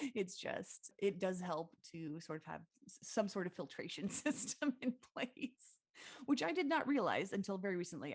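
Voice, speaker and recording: Loud and full of very wide pitch swings, a woman speaks. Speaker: podcast co-host. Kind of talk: casual chat.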